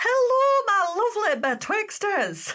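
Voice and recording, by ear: A woman uses a squeaky, put-on character voice at an extremely high pitch. She speaks at a fairly slow pace with very wide pitch swings.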